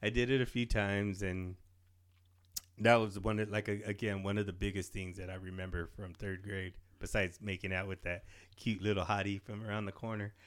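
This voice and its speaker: This man's voice sits fairly low and stays monotone and flat. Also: fairly quick pace, very clean recording, silent background. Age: 40s. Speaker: podcast co-host. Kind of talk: casual chat.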